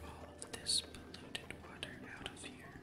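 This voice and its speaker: Against noticeable background noise, a whisper unfolds at a fairly slow pace. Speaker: ASMR gaming channel host. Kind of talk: ASMR gameplay commentary, soft whispering. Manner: soft-spoken, whispered.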